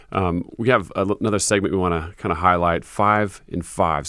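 Upbeat and enthusiastic, a man with a very deep, low voice speaks at a moderate pace with ordinary pitch variation. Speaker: radio host. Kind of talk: radio DJ patter, a warm faith-radio host reading a polished welcome and sign-off. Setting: studio. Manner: upbeat, friendly, brisk and enthusiastic with filler words.

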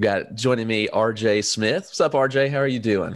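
Speech at a moderate tempo shows ordinary variation in pitch. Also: man. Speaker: podcast host. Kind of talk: casual chat. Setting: video call.

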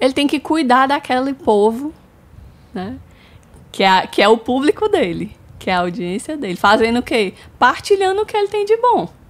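Pitched high with very wide pitch swings, a woman talks at a moderate pace with long, frequent pauses. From Brazil, São Luís, Maranhão. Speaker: marketing agency co-founder. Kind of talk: casual chat.

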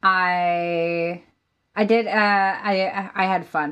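Her voice is a normal speaking voice, medium in pitch with fairly even intonation. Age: 20s. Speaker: singer-songwriter. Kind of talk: interview conversation.

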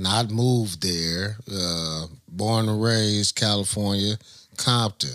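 Talking at a very slow pace, a man has a fairly low pitch and ordinary pitch variation. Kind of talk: casual interview chat.

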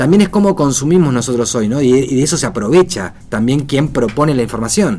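With hardly any pauses, a man speaks at a fairly quick pace in a medium pitch, with lively intonation and a dark, mellow tone. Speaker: radio host. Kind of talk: casual chat.

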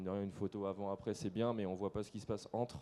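In a dark, mellow tone, a man speaks with a fairly low pitch and monotone, flat intonation. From western France, Nantes area. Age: 20s. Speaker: landscaper and online video creator. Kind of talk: on-stage interview. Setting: stage with audience.

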